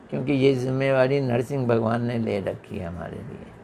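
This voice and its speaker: With noticeable noise in the background, a man speaks at a medium pitch. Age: 70s. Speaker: religious teacher. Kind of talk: religious discourse.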